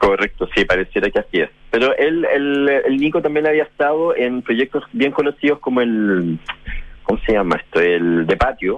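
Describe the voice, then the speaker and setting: A man with a Chilean accent at a moderate pace and very even loudness. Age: 40s. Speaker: journalist and food panelist. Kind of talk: casual chat.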